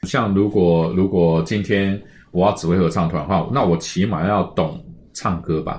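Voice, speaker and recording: A man talks at a moderate pace. His pitch is very deep and low, with ordinary variation. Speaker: choir conductor. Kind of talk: casual interview chat.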